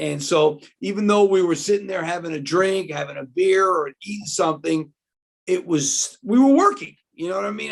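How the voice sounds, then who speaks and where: A man's high-pitched voice in a New York accent at a moderate pace. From New York City (Queens, Washington Heights). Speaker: basketball analyst, former college coach. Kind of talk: casual interview. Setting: video call.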